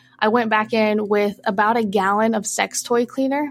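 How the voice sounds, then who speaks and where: A woman with an American accent, an ordinary speaking voice, fairly even intonation and a fairly high pitch. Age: 20s. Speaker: anonymous adult content creator. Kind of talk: casual interview chat.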